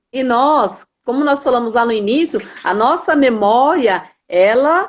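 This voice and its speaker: Very slowly, a woman talks in a high pitch. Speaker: emotional health speaker. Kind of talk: conversational talk with teaching.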